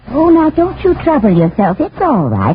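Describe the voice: A woman uses a put-on character voice, high-pitched with a husky, rough edge. Her pitch swings very widely at a moderate pace.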